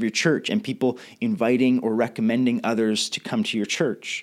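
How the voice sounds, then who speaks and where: With a Western Canadian accent, a man talks at a moderate pace, his pitch swinging very widely. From Canada, Victoria BC. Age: 30s. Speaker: pastor. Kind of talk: recorded leadership talk. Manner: casual.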